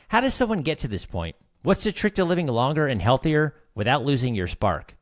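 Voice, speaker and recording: With vocal fry and very wide pitch swings, a man talks at a fairly high pitch on a very clean recording with a silent background. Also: fairly quick pace, dry, close sound with no echo. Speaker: podcast host. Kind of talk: podcast intro.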